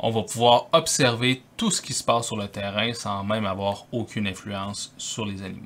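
A man talks with a bright, sharp tone. His pitch varies in an ordinary way. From Quebec City, Canada; Quebec, Canada. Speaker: wildlife photographer. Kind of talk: tutorial. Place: home room.

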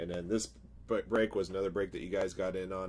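Light background noise sits behind a man with a very deep, low pitch and vocal fry who talks at a fairly quick pace. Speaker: card break host. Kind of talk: live-stream commentary. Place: home room.

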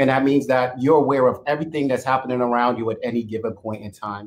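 The speech is monotone and flat, delivered at a fairly quick pace. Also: man. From Jamaica. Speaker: webinar moderator, software operations director. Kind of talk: panel discussion webinar. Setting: video call webinar. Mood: earnest, calm. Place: home room. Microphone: video call.

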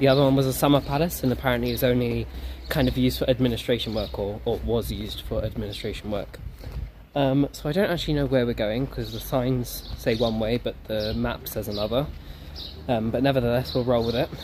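A man talking at a very fast pace, with light background noise. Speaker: travel vlogger. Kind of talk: casual vlog chat. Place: street. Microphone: phone near.

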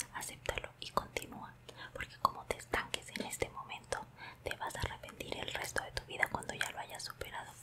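Whispering fairly quickly, a woman is soft-spoken. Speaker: vlogger giving advice. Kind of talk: casual vlog chat, heartfelt advice. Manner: soft close-mic whisper. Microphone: earbuds.

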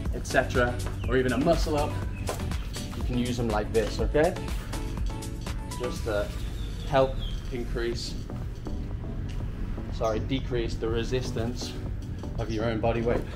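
Against clear music in the background, a man speaks at a moderate pace with long, frequent pauses. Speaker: fitness vlogger. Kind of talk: casual vlog tutorial. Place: garden.

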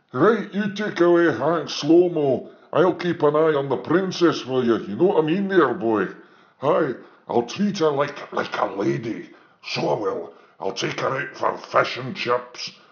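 Put-on character voice from a man, pitched fairly high and delivered at a moderate pace. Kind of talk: comedy character sketches.

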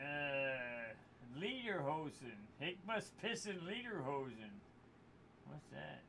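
Speech moves at a very slow pace, broken by long, frequent pauses. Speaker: livestreamer. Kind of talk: casual chat. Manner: animated.

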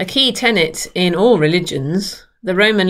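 Against a quiet background, a woman talks in a normal speaking voice. Her pitch is fairly low, with ordinary pitch variation. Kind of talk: sermon. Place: home room. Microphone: webcam.

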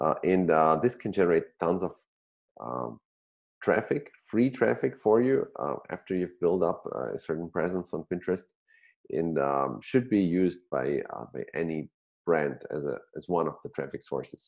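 Against a quiet background, a man with a very deep, low voice and vocal fry speaks at a moderate pace with lively intonation. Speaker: show host. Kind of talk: show intro. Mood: friendly, smiling. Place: home room. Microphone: earbuds.

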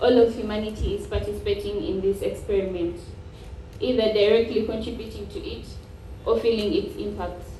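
A woman talks at a fairly quick pace, her loudness swinging widely, with audible room echo and light background noise. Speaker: speaker. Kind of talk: formal speech. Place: hall.

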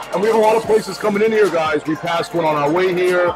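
Clear music plays in the background as a man talks at a very fast pace. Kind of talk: casual vlog chat. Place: cafe. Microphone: lapel.

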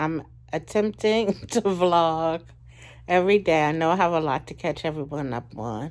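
Against a quiet background, a soft-spoken woman talks at a fairly slow pace in a fairly low voice with ordinary pitch variation. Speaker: vlogger. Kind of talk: casual vlog chat. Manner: sleepy, soft talk lying down. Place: home room. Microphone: phone near.

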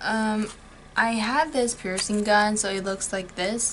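A woman at a fairly slow pace with fairly even intonation, over light background noise. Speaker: beauty vlogger. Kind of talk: casual vlog chat. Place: home room.

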